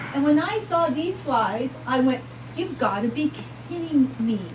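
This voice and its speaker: A woman with a New York accent speaks over noticeable background noise, with audible echo in the room. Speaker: physician speaker. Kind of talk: lecture. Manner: animated.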